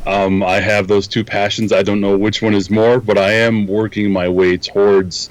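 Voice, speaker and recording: Speaking with a Minnesotan accent, a man uses a fairly low pitch, monotone, flat intonation and very even loudness at a moderate pace with hardly any pauses. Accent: Minnesota. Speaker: photography instructor and software engineer. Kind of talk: interview. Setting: video call.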